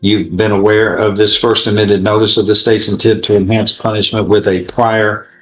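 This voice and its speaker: With noticeable background noise behind him, a man talks at a fairly quick pace in a fairly low, monotone voice, his loudness very even and hardly any pauses. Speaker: judge. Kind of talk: courtroom proceedings. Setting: courtroom.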